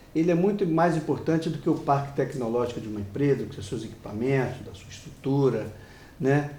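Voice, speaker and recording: A man talks at a fairly quick pace in a fairly high pitch, with ordinary pitch variation. His loudness swings widely, and room echo is audible. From Brazil, Rio de Janeiro. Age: 60s. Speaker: business consultant. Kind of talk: TV interview.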